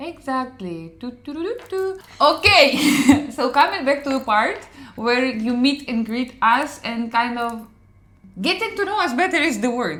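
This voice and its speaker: At a fairly slow pace, a woman with a high pitch speaks in an animated tone, her voice making very wide pitch swings over noticeable background noise. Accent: Slavic. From Ukraine. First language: Ukrainian or Russian. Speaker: podcast co-host. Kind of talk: casual chat.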